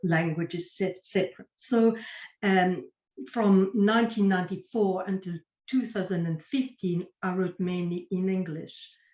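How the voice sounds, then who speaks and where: A woman speaks with a French accent and a somewhat breathy quality. Her pitch is medium, with ordinary variation. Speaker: writer and poet. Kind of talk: online panel interview. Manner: halting.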